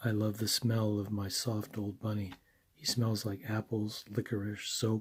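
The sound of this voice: Unforced voice, reading aloud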